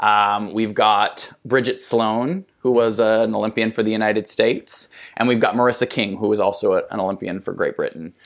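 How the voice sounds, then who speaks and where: A man's normal speaking voice in an American accent, medium in pitch with fairly even intonation, at a fairly quick pace with hardly any pauses, on a very clean recording with a silent background. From US Midwest, South Dakota. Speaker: dancer and choreographer. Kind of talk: casual interview chat.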